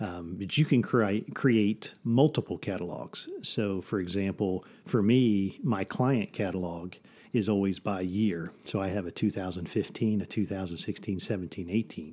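A man's unremarkable speaking voice, fairly low in pitch, with ordinary pitch variation and a moderate pace, in a very clean recording with a silent background. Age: 50s. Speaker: photographer and podcast host. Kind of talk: casual chat. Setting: studio.

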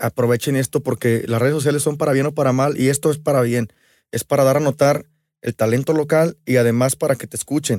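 A normal speaking voice from a man at a medium pitch, with fairly even intonation, dry and close with no echo, on a very clean recording with a silent background. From Mexico, Aguascalientes. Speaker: musician. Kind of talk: casual chat.

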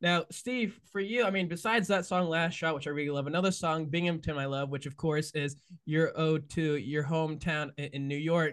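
With hardly any pauses, a man speaks at a moderate pace in a normal speaking voice with ordinary pitch variation. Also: fairly high pitch for a man. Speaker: podcast host. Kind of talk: interview conversation.

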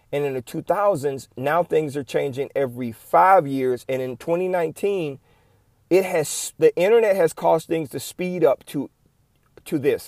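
In an animated tone, a man with a fairly high pitch speaks at a moderate pace with ordinary pitch variation. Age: 50s. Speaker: podcast host and staffing agency owner. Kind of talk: solo podcast monologue.

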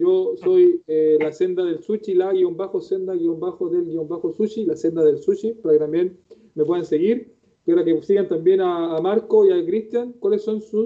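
A man speaks with a Chilean accent. His pace is moderate. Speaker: podcast host. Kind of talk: casual live-stream interview. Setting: live video stream.

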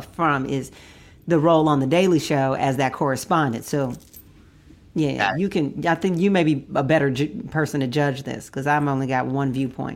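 The speaker here is a woman. She shows ordinary pitch variation. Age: 40s. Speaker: podcast co-host. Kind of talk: casual chat.

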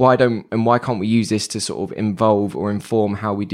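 In a very clean recording with a silent background, a man talks with fairly even intonation. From East London (Wapping). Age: 20s. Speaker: psychology lecturer. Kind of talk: podcast interview. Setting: study pod in a university library. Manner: tends to talk quickly.

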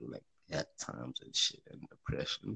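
A man's voice with vocal fry, dry and close with no echo. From South Africa. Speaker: podcaster. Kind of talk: casual chat.

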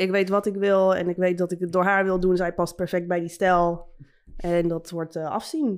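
The woman's intonation is flat and monotone. She talks at a medium pitch and moderate speed. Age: 30s. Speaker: tattoo artist. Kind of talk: casual chat.

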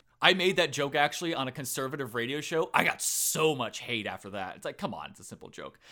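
With an American accent, a man races along at a very fast pace with hardly any pauses, using a fairly high pitch and lively intonation. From Tampa, Florida. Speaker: podcast host. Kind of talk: casual interview chat.

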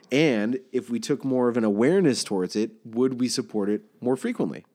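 Over a quiet background, a man talks at a fairly quick pace with lively intonation, a medium pitch and a dark, mellow tone. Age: 30s. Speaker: bank recruiter, guest co-host. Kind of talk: casual chat.

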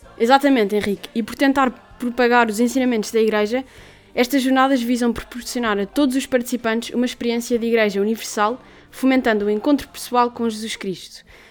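Over music in the background, a woman with a high voice speaks very fast, her intonation fairly even. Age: 18. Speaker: student radio co-host. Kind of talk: radio show chat, partly scripted.

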